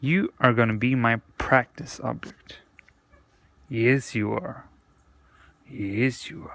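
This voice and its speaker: A very slow male voice with long, frequent pauses, medium pitch, and ordinary pitch variation. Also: big swings in loudness. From Sweden. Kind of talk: casual vlog talk to camera. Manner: deliberately slow, with pauses.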